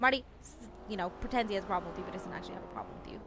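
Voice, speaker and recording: A woman speaks very fast at a medium pitch with ordinary pitch variation. Noticeable background noise runs under her voice. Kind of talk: in-character roleplay chat. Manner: loud, yelling at times.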